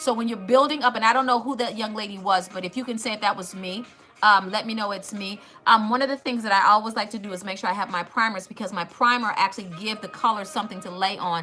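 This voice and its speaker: Music plays behind a woman with an American accent speaking at a very fast pace. Her pitch is fairly high with ordinary variation, and her loudness swings widely. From US Midwest, Cleveland Ohio. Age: 50s. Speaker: makeup livestreamer and cosmetologist. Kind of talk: makeup tutorial livestream. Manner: casual, chatty.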